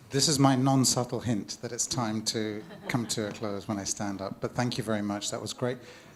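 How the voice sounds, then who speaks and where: Noticeable noise fills the background. Over it, a man talks with fairly even intonation. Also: medium pitch for a man, moderate pace. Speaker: panel moderator. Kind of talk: panel moderation.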